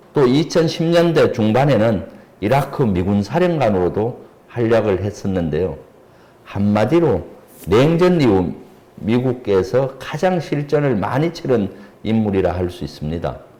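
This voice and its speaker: With very wide pitch swings around a medium pitch, a man speaks at a fairly slow pace. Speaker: politician and retired army general, defense expert. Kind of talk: expert interview on a politics channel. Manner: formal.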